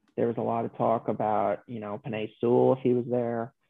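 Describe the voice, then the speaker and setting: A man talks at a medium pitch in a normal speaking voice. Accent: American. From New York. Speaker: sports podcast guest, football writer. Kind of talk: casual chat.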